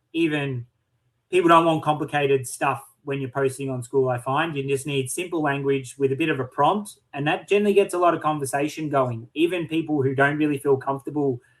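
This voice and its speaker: Fairly high-pitched for a man, he uses a normal speaking voice and moves at a fairly quick pace. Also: fairly even intonation. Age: 30s. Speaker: online community owner. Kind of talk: casual chat.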